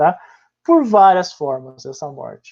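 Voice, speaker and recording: A man at a moderate pace, high in pitch, his tone dark and mellow. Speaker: history teacher. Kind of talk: online class lecture.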